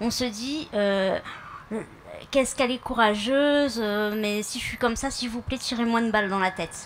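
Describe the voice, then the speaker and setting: A woman speaks at a high pitch with big swings in loudness. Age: 30s. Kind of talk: public speech. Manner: halting, with fillers.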